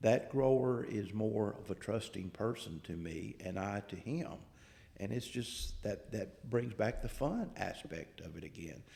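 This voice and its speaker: A man with a Southern accent talks at a fairly slow pace, his tone dark and mellow. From US South. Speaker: agricultural researcher. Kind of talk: podcast interview.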